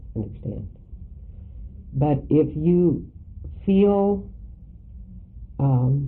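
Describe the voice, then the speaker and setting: Audible room echo surrounds a woman whose very deep, low pitch carries lively intonation. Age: 60s. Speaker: Jungian analyst lecturer. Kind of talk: lecture. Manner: halting, with frequent fillers.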